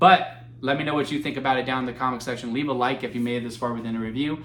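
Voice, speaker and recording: Noticeable background noise and audible room echo around a man at a medium pitch, his intonation fairly even. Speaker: movie reviewer. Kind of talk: solo video review. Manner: halting, stumbling over words; casual, conversational.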